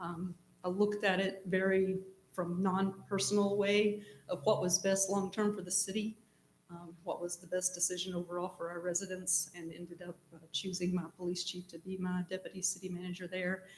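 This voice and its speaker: A woman speaks at a moderate pace in a medium, somewhat breathy voice. Her intonation stays flat and monotone while her loudness swings widely. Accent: American. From East Tennessee. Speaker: city manager, job candidate. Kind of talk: job interview. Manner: hesitant with frequent ums.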